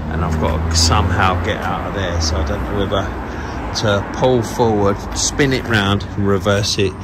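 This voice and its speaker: A man speaks with ordinary pitch variation over loud background noise. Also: moderate pace. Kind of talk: casual vlog chat. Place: street. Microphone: phone near.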